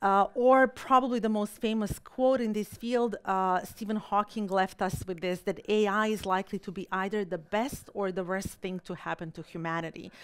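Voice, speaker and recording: A woman with a Balkan accent at medium pitch and a moderate pace, hardly any pauses, ordinary pitch variation and a quiet background. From Balkans. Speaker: political scientist and keynote speaker. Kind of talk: keynote lecture. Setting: stage with audience. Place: hall. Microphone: podium.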